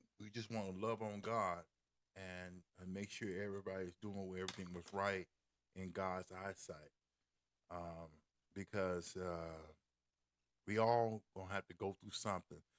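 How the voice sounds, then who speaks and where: In a dry, close sound with no echo, a man with a very deep, low pitch speaks at a fairly slow pace in a monotone, flat delivery broken by long, frequent pauses. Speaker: YouTuber and church elder giving opinions. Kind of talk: livestream commentary monologue. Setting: live stream. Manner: halting, many fillers and repetitions.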